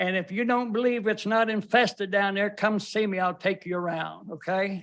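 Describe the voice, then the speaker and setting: On a very clean recording with a silent background, a man with a North Carolina accent talks at a moderate pace in a high voice with fairly even intonation. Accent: US South, North Carolina. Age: 70s. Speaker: resident at public comment, retired drug officer. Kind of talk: public comment at county meeting. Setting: county board meeting room.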